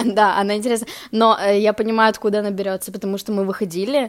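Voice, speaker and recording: Speaking very fast, a woman keeps a flat, monotone intonation at a medium pitch. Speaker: podcast co-host. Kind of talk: casual chat.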